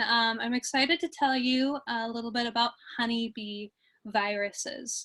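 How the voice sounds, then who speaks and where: A woman speaks at a fairly slow pace with a slight Minnesota accent. Her pitch is high, and the background is quiet. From US Midwest, Minnesota. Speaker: bee researcher. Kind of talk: lecture. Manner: hesitant, many fillers.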